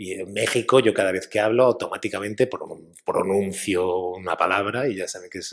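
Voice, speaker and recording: A man speaks with a strong Spanish accent at a fairly low pitch, his intonation fairly even. Noticeable background noise runs underneath. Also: moderate pace, big swings in loudness. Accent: strong Spain Spanish. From Spain.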